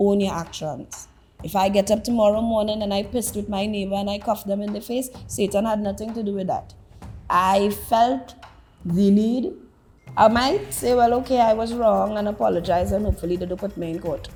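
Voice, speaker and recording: Music plays behind a woman who talks fairly quickly at medium pitch with ordinary pitch variation. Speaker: talk show guest. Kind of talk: interview monologue.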